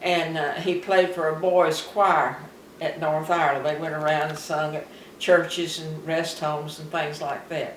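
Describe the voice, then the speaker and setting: In a Southern US accent, the speaker talks at a moderate pace with monotone, flat intonation and big swings in loudness, against noticeable background noise. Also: woman, very deep, low pitch for a woman. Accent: Southern American. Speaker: retired farmer. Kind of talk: interview answer.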